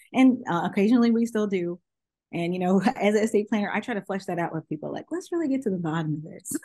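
Over a quiet background, a woman with an American accent talks very fast at a medium pitch, her voice somewhat breathy and her intonation lively. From Los Angeles. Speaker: estate planning attorney. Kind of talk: interview.

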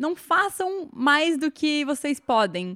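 This woman's voice rises and falls in very wide pitch swings. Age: 20s. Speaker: confectioner and bride. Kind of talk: casual interview chat.

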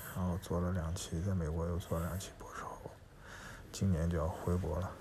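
A man talks with a very deep, low pitch, and audible room echo surrounds his voice. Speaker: podcast co-host, incoming university professor. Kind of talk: casual chat.

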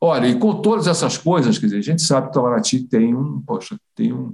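This voice has a dark, mellow tone with vocal fry, very wide pitch swings and a fairly quick pace. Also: man. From Brazil. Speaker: retired foreign ministry official. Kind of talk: interview storytelling. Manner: halting, many repetitions.

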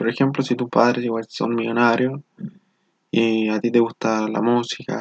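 A man at medium pitch, moderate pace and monotone, flat intonation. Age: 20s. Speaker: engineering student. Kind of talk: motivational monologue.

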